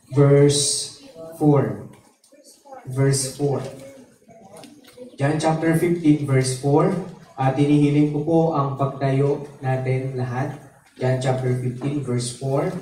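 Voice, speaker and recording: Long, frequent pauses break up a man's very slow, monotone, flat delivery at a fairly high pitch, with audible room echo and noticeable background noise. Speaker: pastor. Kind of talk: sermon. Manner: softened volume, quieter at night.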